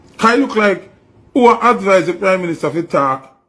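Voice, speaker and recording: This man speaks with a Jamaican accent, his high-pitched voice bright and sharp, animated in tone and lively in intonation. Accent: Jamaican Patois-inflected English. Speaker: news commentary host. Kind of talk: opinionated news commentary.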